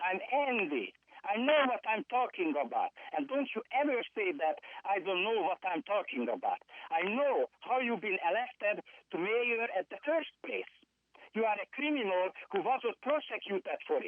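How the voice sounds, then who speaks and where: With a non-native accent, the speaker talks at a moderate pace in an angry tone. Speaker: public commenter caller. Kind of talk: public comment. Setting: phone call. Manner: angry, forceful.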